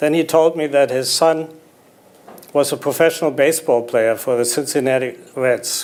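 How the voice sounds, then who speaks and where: A man with a slight German accent, fairly even intonation and a moderate pace. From Germany, Berlin. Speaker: memoir author, businessman. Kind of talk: on-stage interview.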